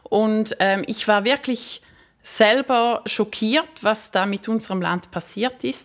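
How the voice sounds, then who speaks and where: A woman speaks at a very slow pace with a fairly high pitch. Her pitch varies in an ordinary way. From Switzerland. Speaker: magazine publisher, former primary school teacher. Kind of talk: interview. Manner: hesitant with fillers.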